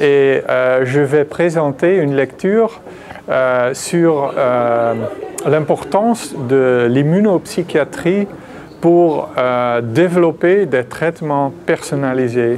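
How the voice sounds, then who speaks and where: With a Dutch accent, a man talks at a very slow pace and very even loudness over noticeable background noise. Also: fairly high pitch for a man, ordinary pitch variation. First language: Dutch (speaking French). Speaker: psychiatry professor, discussant. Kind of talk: conference lecture. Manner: halting, many fillers.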